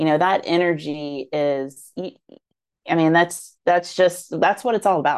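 Speaking fairly slowly, a woman has a plain, everyday voice with fairly low pitch and ordinary pitch variation. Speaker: marketing podcast co-host. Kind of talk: casual banter.

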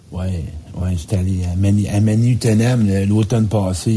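Noticeable background noise runs under the recording. A man talks in a fairly low pitch with monotone, flat intonation. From Quebec. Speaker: public speaker and life coach. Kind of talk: casual radio chat.

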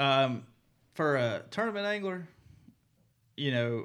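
This man speaks in a Mississippi accent. His voice sits at a medium pitch with lively intonation. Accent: Southern US (Mississippi). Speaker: professional bass angler. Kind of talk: casual interview. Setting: studio.

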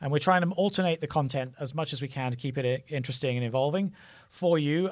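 The man's pitch moves in an ordinary way, and the recording is very clean with a silent background. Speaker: tech company podcast host. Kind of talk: casual interview. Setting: studio.

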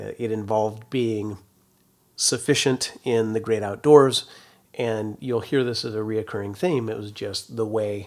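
In a very clean recording with a silent background, a man speaks with an American accent. His pitch is fairly low and his intonation fairly even. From Northern California, rural. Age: 40s. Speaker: podcast host, overlanding community founder. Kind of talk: solo monologue podcast. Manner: casual, many fillers.

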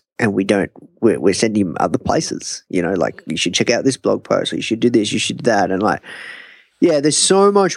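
A man with an Australian accent at medium pitch and a fairly quick pace, in a dry, close sound with no echo. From Australia, Melbourne. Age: young. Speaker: entrepreneur. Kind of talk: interview. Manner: animated.

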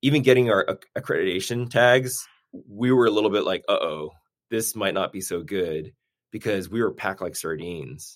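A man speaks in an unremarkable speaking voice with an American accent, his pitch fairly low. He keeps a moderate pace and ordinary pitch variation. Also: very clean recording, silent background. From Boston area, Massachusetts (Newton). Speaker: orthopedic surgeon, sports team physician. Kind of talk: interview, casual chat.

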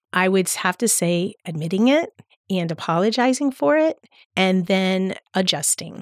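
Speaking with an American accent in a plain, everyday voice, a woman keeps a moderate pace and a medium pitch. The recording is very clean with a silent background and a dry, close sound with no echo. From US, South Florida (Palm Beach County). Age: 50s. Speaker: teacher. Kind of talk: casual chat.

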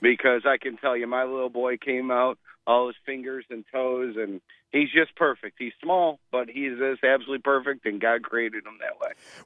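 A man with a normal speaking voice, fairly even intonation, a moderate pace and big swings in loudness. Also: medium pitch for a man. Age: 40s. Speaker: caller, new father. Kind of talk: casual chat. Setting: phone call.

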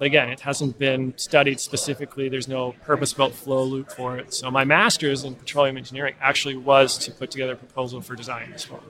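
A man's very fast, medium-pitched Canadian-accented delivery, flat and monotone, with hardly any pauses, big swings in loudness and noticeable background noise. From Canada. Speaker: PhD student in petroleum engineering. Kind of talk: interview. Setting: live at an industry conference.

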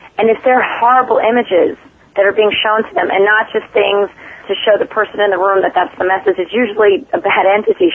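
Noticeable background noise sits behind a woman who talks fairly quickly in a fairly high voice with ordinary pitch variation. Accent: American. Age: 30s. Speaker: paranormal investigator. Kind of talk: interview conversation.

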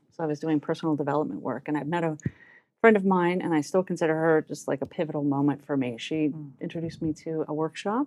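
A woman talks very fast with a very deep, low pitch and fairly even intonation. The sound is dry and close, with no echo. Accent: American. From US South, New Orleans. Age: 40s. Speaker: success coach. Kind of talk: casual interview.

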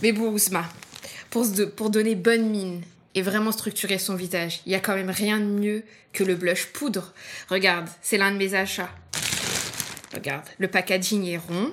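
Noticeable background noise sits behind a voice with fairly even intonation, a fairly slow pace and long, frequent pauses. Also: woman, medium pitch for a woman. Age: 30s. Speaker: visually impaired makeup podcast co-host. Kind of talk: scripted casual chat, makeup tutorial.

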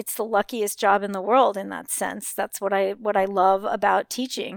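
A woman with an American accent talks at a fairly quick pace and fairly high pitch, in a plain, everyday voice. The sound is dry and close with no echo, on a very clean recording with a silent background. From Los Angeles. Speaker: high school English teacher. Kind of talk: interview.

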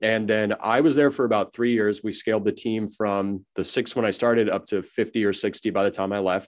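There is a man with an American accent and a fairly low voice. His intonation is fairly even over a quiet background. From US West Coast, Los Angeles. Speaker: software company CEO, former auditor. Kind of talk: podcast interview.

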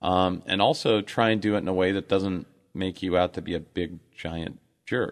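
The man's voice sits at a very deep, low pitch, with ordinary pitch variation. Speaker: radio host. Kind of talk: radio DJ patter: bantering show-host chat with ad reads and plugs. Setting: studio.

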